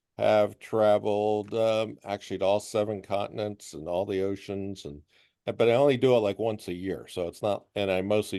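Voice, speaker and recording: At a moderate pace, a man with an unremarkable speaking voice talks at a fairly low pitch with fairly even intonation. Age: 60s. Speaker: visually impaired traveler. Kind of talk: group chat introduction.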